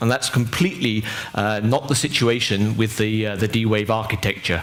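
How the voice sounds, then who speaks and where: A man with a medium pitch talks at a fairly quick pace. There is audible room echo and noticeable background noise. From Europe. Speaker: tech company engineer presenter. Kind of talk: lecture. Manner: halting, many fillers.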